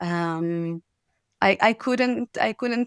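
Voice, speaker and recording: In a very clean recording with a silent background, a woman with a non-native accent comes across dry and close, with no echo. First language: not English. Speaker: acupuncturist and near-death experience survivor. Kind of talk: interview. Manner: halting, many repetitions and fillers.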